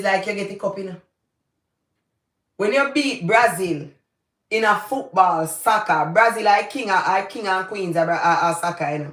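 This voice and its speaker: A woman's medium-pitched, animated voice with a Jamaican accent, at a moderate pace with ordinary pitch variation. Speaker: YouTuber, commentator. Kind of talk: livestream commentary.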